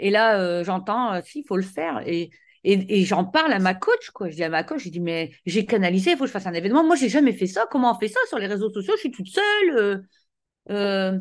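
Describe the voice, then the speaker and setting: A woman's intonation is lively as she talks at a fairly quick pace against a quiet background. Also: medium pitch for a woman. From France. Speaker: business coach. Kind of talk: interview.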